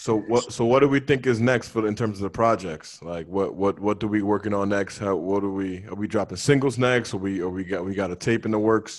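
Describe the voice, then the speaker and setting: A man's normal speaking voice, fairly low-pitched with ordinary pitch variation, at a fairly quick pace with hardly any pauses. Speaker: podcast co-host. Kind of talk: casual chat.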